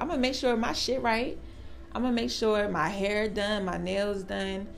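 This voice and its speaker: With music playing in the background, a woman speaks at a moderate pace and medium pitch. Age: 20s. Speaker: podcast co-host. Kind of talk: casual chat.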